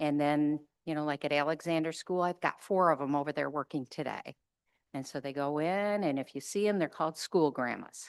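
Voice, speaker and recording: A woman with a very deep, low pitch speaks at a fairly quick pace with ordinary pitch variation, in a dry, close sound with no echo and a quiet background. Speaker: program director. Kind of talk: presentation at a public board meeting. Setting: public meeting room with microphone. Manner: conversational.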